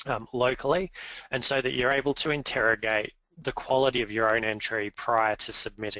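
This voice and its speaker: A man speaks fairly quickly with an Australian accent. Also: medium pitch for a man, ordinary pitch variation. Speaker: awards executive chair presenting a webinar. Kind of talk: webinar presentation. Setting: webinar. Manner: hesitant fillers (um, uh).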